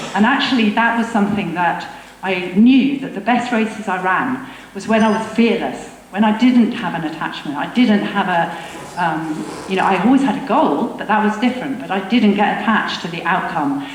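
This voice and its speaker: Lively intonation and an English accent come through at a moderate pace, with noticeable background noise and audible room echo. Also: woman. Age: 60s. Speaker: veteran runner. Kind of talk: talk to a live audience. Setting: stage with audience.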